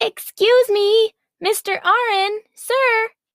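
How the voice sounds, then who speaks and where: A squeaky, female-sounding put-on character voice talks very slowly at an extremely high pitch. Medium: audio drama. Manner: polite, enthusiastic.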